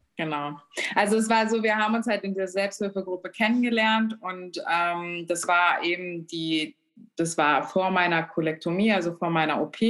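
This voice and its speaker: A woman has a normal speaking voice with a medium pitch. She talks at a moderate pace with ordinary pitch variation. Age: 30s. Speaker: self-help group leader and patient. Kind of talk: casual interview. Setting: remote call.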